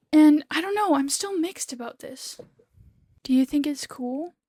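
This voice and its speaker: A woman speaks at a fairly quick pace in a dark, mellow tone with ordinary pitch variation. The recording is very clean with a silent background and a dry, close sound with no echo. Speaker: crochet small business owner and vlogger. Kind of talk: casual vlog talk. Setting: at home. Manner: whispering a bit to avoid being overheard.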